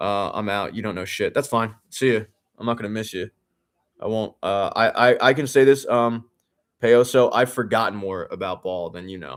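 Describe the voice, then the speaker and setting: A man with an American accent speaks at a medium pitch and a moderate pace, with ordinary pitch variation and an animated tone. The recording is very clean, with a silent background. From Philadelphia, US. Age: 30s. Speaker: sports radio host streaming a game watch-along. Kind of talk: live stream watch-along, casual chat reading comments. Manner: animated, heated ranting.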